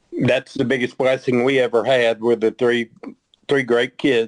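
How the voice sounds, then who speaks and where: A man's flat, monotone voice at medium pitch in a Texan accent, fairly slow and very even in loudness, with a dry, close sound and no echo. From Texas, Dallas (Oak Cliff). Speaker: guest, descendant of a historical figure. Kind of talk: interview conversation.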